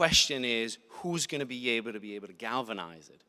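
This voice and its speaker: A man with an American accent, medium in pitch, with a bright, sharp tone and lively intonation at a moderate pace. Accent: sounds American. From Italy. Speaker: panelist. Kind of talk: panel discussion.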